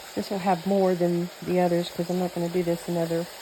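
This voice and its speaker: A woman with an American accent talks at a fairly quick pace over noticeable background noise. Her fairly low voice is monotone and flat. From New Mexico. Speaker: home cooking vlogger. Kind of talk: cooking tutorial with casual chat. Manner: casual, chatty.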